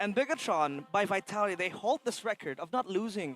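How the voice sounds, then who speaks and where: A man with a non-native accent speaks at a high pitch with an animated tone and lively intonation. The sound is dry and close, with no echo. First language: not English. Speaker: esports caster. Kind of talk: live commentary.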